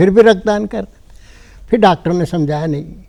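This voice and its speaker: A man talks at a high pitch with a dark, mellow tone. His pitch varies in an ordinary way. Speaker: writer and blood donation activist. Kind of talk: TV interview.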